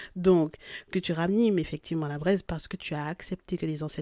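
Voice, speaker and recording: A woman with a non-native accent speaks at a fairly low pitch in a dark, mellow tone. The recording is very clean and dry, close with no echo, against a silent background. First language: not French (speaking French). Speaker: spiritual guidance podcaster. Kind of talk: spiritual guidance reading. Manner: hesitant, with fillers.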